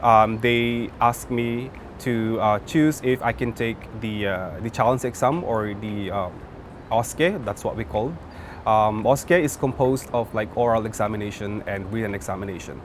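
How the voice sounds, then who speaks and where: Speaking at a fairly slow pace in a medium pitch, a man talks with a Filipino accent. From Philippines. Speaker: nurse. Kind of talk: interview. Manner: halting.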